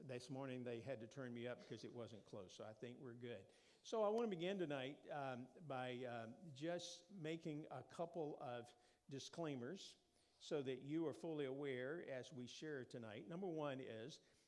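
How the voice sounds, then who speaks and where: The speaker has an American accent and ordinary pitch variation. Audible room echo can be heard. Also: man, medium pitch for a man, moderate pace. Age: 60s. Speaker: preacher. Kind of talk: informal sermon talk. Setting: church.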